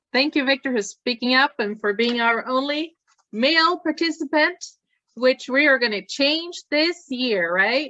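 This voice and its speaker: A woman speaks with a Swedish accent. Her pitch is high and her intonation lively. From Sweden. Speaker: task force meeting facilitator, nonprofit director. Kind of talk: group meeting. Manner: animated.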